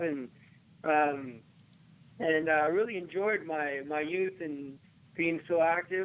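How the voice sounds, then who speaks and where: A normal speaking voice, its intonation fairly even. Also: man. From Los Angeles area, US (born in Argentina). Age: 30s. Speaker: Olympic luge athlete. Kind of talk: radio interview.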